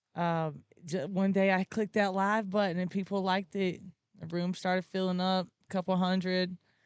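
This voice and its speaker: Medium-pitched woman's voice in a southern Alabama accent, monotone and flat. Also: moderate pace. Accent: Southern Alabama accent, fairly strong. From Alabama, US South. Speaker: content creator and live streamer. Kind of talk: podcast interview.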